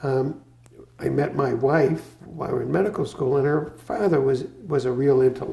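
An American accent marks this man's fairly high voice, which moves at a moderate pace with audible room echo. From Boston area, Massachusetts. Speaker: retired physician; interviewee. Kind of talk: oral history interview. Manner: halting. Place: home room. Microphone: lapel.

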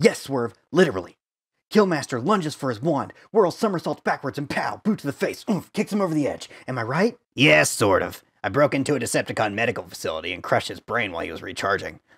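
Putting on a character voice, a man races along at a very fast pace with a fairly high pitch and very wide pitch swings. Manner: sarcastic, manic.

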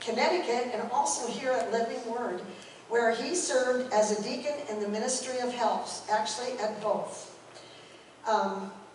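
Against light background noise and audible room echo, a woman speaks at a moderate pace with fairly even intonation. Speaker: speaker. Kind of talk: memorial tribute speech. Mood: warm, fond, light laughs. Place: church. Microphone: camera far.

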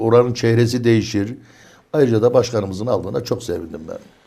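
This man speaks at a very fast pace. His pitch is medium and his tone dark and mellow. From Çorum, central Anatolia, Turkey. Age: 60s. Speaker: neighbourhood headman. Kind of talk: studio interview. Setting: studio.

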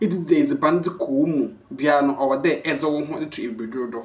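A man talks at a fairly quick pace with lively intonation. His tone is slightly mellow.

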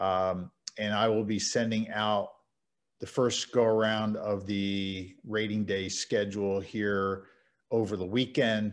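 Against a quiet background, a man with an American accent talks very slowly at a fairly low pitch in monotone, flat intonation. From Louisville, Kentucky, US. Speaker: umpire assigner and trainer. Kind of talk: training clinic presentation. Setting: video call. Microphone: video call.

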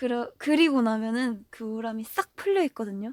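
Lively intonation and a gentle tone, with a dry, close sound without echo, in a very clean recording against a silent background. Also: woman. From South Korea, Gwangju. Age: 20s. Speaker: idol singer. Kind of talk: fan livestream chat. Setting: audio livestream. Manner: soft, gentle.

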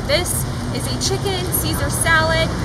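Loud background noise behind a woman speaking. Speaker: presenter. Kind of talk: tutorial. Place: street. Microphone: lapel.

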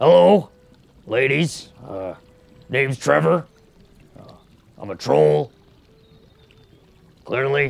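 Putting on a character voice, a man speaks at a very slow pace and a medium pitch, with long, frequent pauses. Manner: shy, reluctant.

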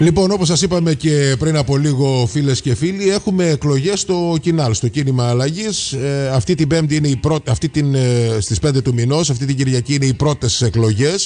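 Through noticeable background noise, a man with a fairly high voice speaks at a moderate pace with hardly any pauses, very even loudness and ordinary pitch variation. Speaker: radio host. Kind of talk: radio interview.

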